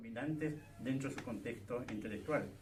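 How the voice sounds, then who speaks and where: A man at medium pitch, fairly even intonation and a fairly quick pace, with noticeable background noise. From Chile, Puerto Montt. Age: 80s+. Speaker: academic, theatre scholar and writer. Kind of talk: public talk, open dialogue.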